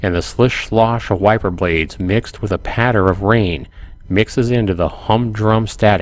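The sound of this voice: The clip features an unforced reading voice. It is heard on its own.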